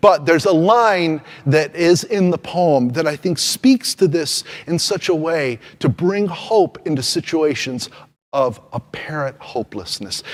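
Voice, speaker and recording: A man with a plain, everyday voice, fairly high-pitched, lively in intonation, at a fairly slow pace. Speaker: preacher / pastor. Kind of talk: sermon delivered to a congregation.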